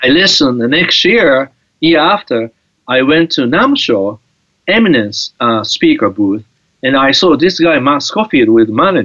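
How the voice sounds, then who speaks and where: With very wide pitch swings and very even loudness, a man with a fairly high pitch speaks at a moderate pace. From Japan. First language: Japanese. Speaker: guitar teacher. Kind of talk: interview. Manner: halting.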